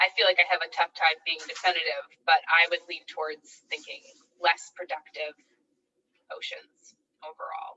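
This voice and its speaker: A woman speaks at a moderate pace in a fairly low pitch with ordinary pitch variation. Her loudness swings widely, and she takes long, frequent pauses. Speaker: postdoctoral researcher, marine ecologist. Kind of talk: academic Q&A after a talk. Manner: mumbling; hesitant, many fillers.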